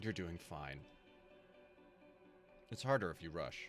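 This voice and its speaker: Over clear background music, a man uses a rumbling, put-on character voice at a fairly slow pace. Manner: kind but neither gentle nor quiet.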